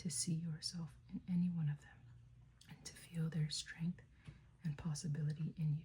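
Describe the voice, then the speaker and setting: A soft-spoken woman's whisper, somewhat breathy. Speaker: ASMR creator. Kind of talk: ASMR book reading. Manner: whispered, soft-spoken.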